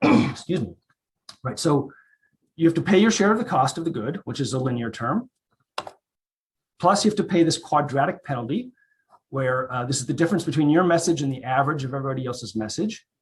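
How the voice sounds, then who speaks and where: This man talks at a very fast pace with a fairly high pitch, lively intonation, a somewhat breathy quality and long, frequent pauses. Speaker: economics researcher. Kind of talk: conference talk.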